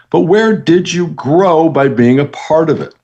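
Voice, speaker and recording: With an American accent and lively intonation, a man talks in an unremarkable speaking voice. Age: 60s. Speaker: motivational speaker and author. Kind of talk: motivational talk.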